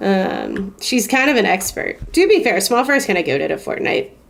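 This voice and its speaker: Her pitch swinging very widely, a woman speaks at a fairly slow pace amid noticeable background noise. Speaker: gaming streamer. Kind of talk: live gameplay stream chat. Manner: sounds sarcastic even when serious; casual, conversational.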